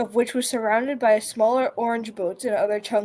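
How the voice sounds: Fairly even intonation carries this natural reading voice along.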